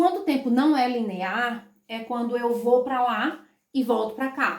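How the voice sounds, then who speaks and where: A woman with a high voice speaks in an animated tone at a fairly slow pace. Her pitch varies in an ordinary way. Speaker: school teacher. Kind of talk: online lesson.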